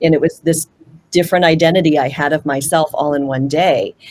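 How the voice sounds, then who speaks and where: A woman with a Pacific Northwest accent speaks at a moderate pace, her pitch very deep and low. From Washington State, US (Puyallup). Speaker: panelist. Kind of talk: panel discussion.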